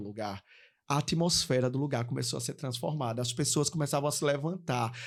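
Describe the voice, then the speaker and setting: With a northeastern Brazilian accent, a man talks at a fairly quick pace in an animated, somewhat breathy tone, his fairly high pitch showing ordinary pitch variation over a very clean recording with a silent background. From Paraíba, Brazil. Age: young. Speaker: pastor. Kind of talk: testimony.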